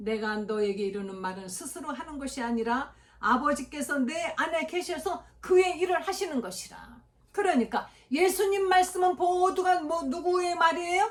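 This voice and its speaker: A woman speaks at an extremely high pitch and a moderate pace. Her pitch swings very widely. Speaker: pastor. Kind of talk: sermon.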